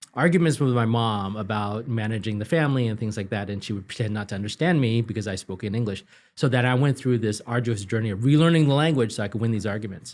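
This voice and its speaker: In a very clean recording with a silent background, a man with a Cantonese accent speaks very fast at medium pitch, with ordinary pitch variation and hardly any pauses. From Northern California (Marysville), born in Hong Kong. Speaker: political consultant and author. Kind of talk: interview.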